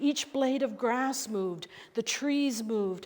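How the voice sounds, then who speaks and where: The woman's pitch is high. She speaks at a fairly slow pace. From Northern Ireland, Belfast. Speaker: pastor. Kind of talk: sermon.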